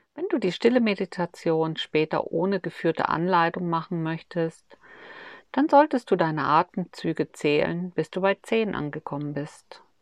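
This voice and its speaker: In a normal speaking voice, a woman with fairly low pitch uses ordinary pitch variation, the sound dry and close with no echo against a quiet background. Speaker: meditation guide. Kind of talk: guided meditation. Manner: slow, soothing, calm and gentle, with long pauses.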